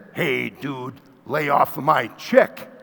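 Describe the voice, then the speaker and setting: A man puts on a booming character voice. His pitch sits fairly high. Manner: threatening, tough.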